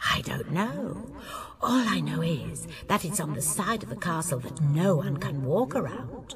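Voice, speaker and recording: With clear background noise behind her, a woman uses a put-on character voice at a very deep, low pitch and a moderate pace. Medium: read story. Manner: wry, teasing.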